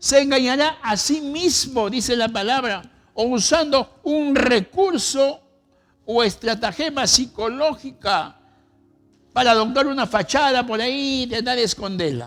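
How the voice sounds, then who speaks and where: Over music in the background, a man with an extremely high pitch talks at a fairly slow pace with ordinary pitch variation. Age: 70s. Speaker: pastor. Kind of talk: sermon.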